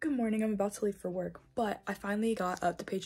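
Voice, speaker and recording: Music plays in the background as a woman with an American accent speaks at a medium pitch. Her pace is fairly quick. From Indiana, USA. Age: 20s. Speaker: book vlogger. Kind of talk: casual talk to camera.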